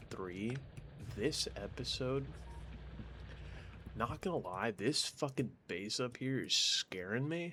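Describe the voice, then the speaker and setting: A man whispers quietly at a very slow pace. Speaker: gaming YouTuber. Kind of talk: gameplay commentary. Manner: quiet, near whisper; casual.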